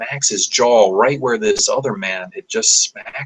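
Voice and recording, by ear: The clip is reading aloud. It is done in a natural voice.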